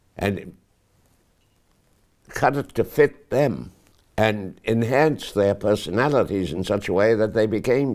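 Over a quiet background, a man with a fairly low pitch and vocal fry speaks fairly slowly, his pitch swinging very widely. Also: long, frequent pauses. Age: 80s+. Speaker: actor. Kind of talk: interview answer. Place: home room. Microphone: lapel.

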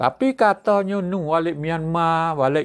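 Very slow speech from a man against a quiet background. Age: old. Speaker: online news commentator; news commentator. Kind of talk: news commentary monologue; casual news commentary. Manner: hesitant, many fillers. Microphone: webcam.

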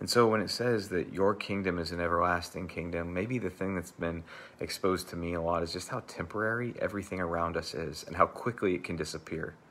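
At a very fast pace with hardly any pauses, a man talks in a very deep, low voice. His pitch variation is ordinary. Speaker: church pastor leading devotional. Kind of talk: devotional talk and fervent prayer. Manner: fervent, earnest, heartfelt prayer; informal, conversational, with filler words. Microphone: lapel.

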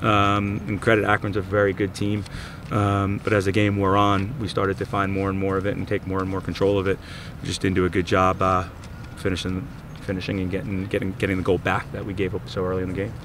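Very fast and monotone, a man with a fairly low pitch speaks in a dry sound with no echo over light background noise. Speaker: head coach. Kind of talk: interview answer. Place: stadium.

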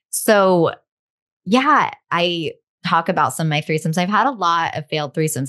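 The delivery comes at a moderate pace with lively intonation. Behind it, the background is quiet. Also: woman. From US, raised in a hippie commune. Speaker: sex and relationship coach and author; relationship coach. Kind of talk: casual interview. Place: home room.

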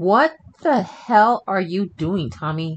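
Speaking slowly, a man puts on a character voice with a high pitch and lively intonation.

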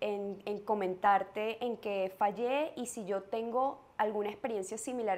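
The speaker has a Venezuelan accent. Pitch varies in an ordinary way. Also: woman. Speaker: mother sharing parenting experience; podcast host. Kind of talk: casual chat. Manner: calm; hesitant, many fillers. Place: home room. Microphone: lapel.

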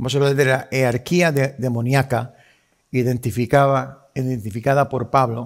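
Here a man speaks at a moderate pace with fairly even intonation. The background is quiet. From Puerto Rico. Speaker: pastor. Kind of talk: sermon. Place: church.

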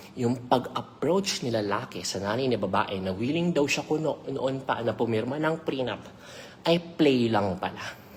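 With a very deep, low pitch, a woman talks at a fairly slow pace in an animated tone with lively intonation. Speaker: celebrity gossip vlogger. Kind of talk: gossip commentary vlog.

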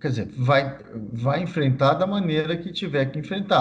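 With light background noise, a man speaks at a moderate pace in a somewhat breathy voice. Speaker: guest. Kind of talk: interview answer. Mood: serious, calm.

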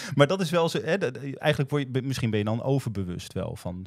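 Over a quiet background, a man talks at a very fast pace with very wide pitch swings, the sound dry with no echo. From Groningen, Netherlands; Netherlands. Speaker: podcast host. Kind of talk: casual chat. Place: studio. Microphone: studio mic.

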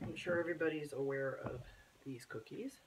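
At a moderate pace, the speech comes through with noticeable background noise underneath. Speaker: home baker. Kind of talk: casual cooking tutorial to camera.

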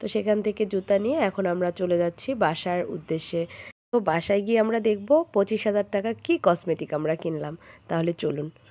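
Over a quiet background, a woman speaks in a dark, mellow tone at medium pitch with ordinary pitch variation. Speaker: vlogger and online clothing seller. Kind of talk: casual vlog. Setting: at home.

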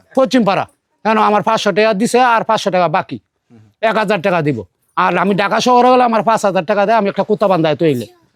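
A man's high-pitched voice with ordinary pitch variation and very even loudness, dry and close with no echo. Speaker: father of a man in the news. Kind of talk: public apology. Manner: shaky.

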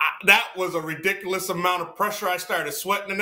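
Over noticeable background noise, a man speaks in a raised, projected voice. His pitch is high and his pace very fast. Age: 40s. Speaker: musician. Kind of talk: casual chat.

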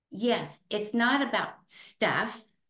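Against a quiet background with audible room echo, a woman speaks at a very slow pace. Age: 70s. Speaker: retired teacher. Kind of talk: interview answer. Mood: earnest, faith-filled. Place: home room. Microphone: video call.

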